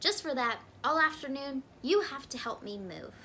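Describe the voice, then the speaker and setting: Someone performs a put-on character voice with clear background noise behind it. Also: woman, high pitch for a woman, moderate pace. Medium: read story. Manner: indignant.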